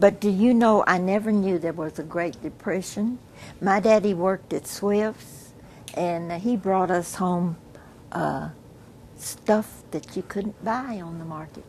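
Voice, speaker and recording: Somewhat breathy, a woman with an American accent speaks at a fairly slow pace and medium pitch, with ordinary pitch variation. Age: 80s+. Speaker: family elder interviewee. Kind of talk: family oral history interview. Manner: halting with frequent fillers.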